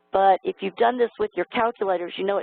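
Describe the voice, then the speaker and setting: A plain, everyday voice from a woman, medium in pitch, fairly quick, with ordinary pitch variation. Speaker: calculus exam expert presenting to teachers. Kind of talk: educational webinar presentation. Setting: online webinar.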